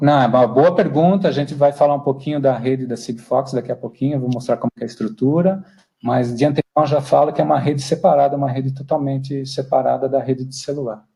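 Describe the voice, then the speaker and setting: At a very fast pace, a man speaks with a dark, mellow, somewhat breathy tone and fairly even intonation. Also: fairly high pitch for a man, hardly any pauses. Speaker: IoT speaker. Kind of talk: webinar talk. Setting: online webinar.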